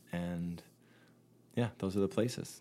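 A man speaks with a Canadian accent. His pitch is very deep and low. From Canada. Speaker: singer-songwriter and facilitator. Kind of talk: casual interview chat. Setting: remote call.

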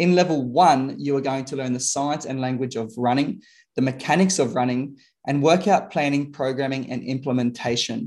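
The speaker has an Australian accent and a moderate pace. Pitch varies in an ordinary way. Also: man, medium pitch for a man. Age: 30s. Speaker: podcast host and fitness coach. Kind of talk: ad read; interview. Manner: animated.

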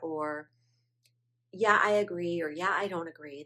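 With a plain, everyday voice, a woman talks at a fairly slow pace in a fairly low pitch with ordinary pitch variation, on a very clean recording with a silent background. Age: 50s. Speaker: podcast host and women's life coach. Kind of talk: casual solo monologue. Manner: repetitive, conversational.

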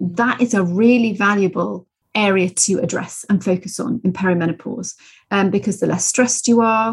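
Speaking with a British accent, a woman has a medium-pitched, somewhat breathy voice. Her pitch varies in an ordinary way. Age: 40s. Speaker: nutritional therapist. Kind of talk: casual interview.

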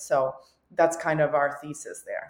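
Her very deep, low pitch stays monotone and flat as the woman talks at a moderate pace. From Albania, moved to Canada as a child. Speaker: entrepreneur. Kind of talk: interview. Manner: casual, many fillers.

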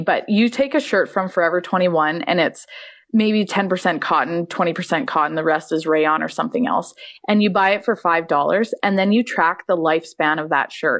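With a Canadian accent, a woman speaks in an unremarkable speaking voice at a fairly quick pace with ordinary pitch variation against a quiet background. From Canada. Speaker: fashion designer and trick rider. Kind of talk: casual interview.

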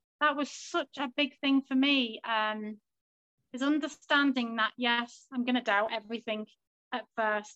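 Spoken with a Liverpool accent at a fairly slow pace, the voice has a bright, sharp tone and fairly even intonation. The sound is dry and close, with no echo. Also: woman, high pitch for a woman. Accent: Liverpool (Scouse) English. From Liverpool, England. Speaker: stay-at-home mother and coaching client. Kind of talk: interview.

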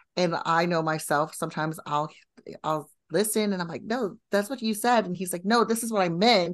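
An unremarkable speaking voice, this woman talks at medium pitch and a moderate pace, with ordinary pitch variation. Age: 40s. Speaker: business coach. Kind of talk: casual chat.

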